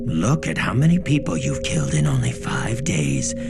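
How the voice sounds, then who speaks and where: Over loud background music, a man does a cartoonish character voice, very deep and low in pitch, at a moderate pace. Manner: casual, amused drawl.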